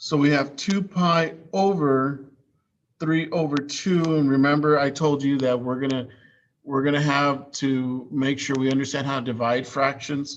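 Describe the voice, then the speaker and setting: This man talks at a fairly slow pace with fairly even intonation. His pitch sits fairly high, in an unremarkable speaking voice. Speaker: high school math teacher. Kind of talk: online class lecture.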